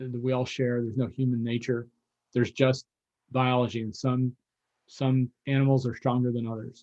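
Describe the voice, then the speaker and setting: A man's dark, mellow voice at a medium pitch and moderate pace, monotone and flat, with long, frequent pauses and a dry, close sound with no echo. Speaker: lecturer on worldviews. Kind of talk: lecture.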